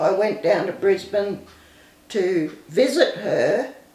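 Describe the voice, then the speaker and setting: Medium-pitched speech from a woman, set against noticeable background noise. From Queensland, Australia. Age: 70s. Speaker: recovered addict telling life story. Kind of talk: testimony. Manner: halting.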